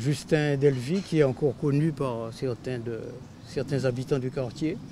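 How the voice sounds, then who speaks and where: Somewhat breathy and dark and mellow in tone, a man speaks at a fairly slow pace with a medium pitch and fairly even intonation. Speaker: local resident. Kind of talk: documentary interview.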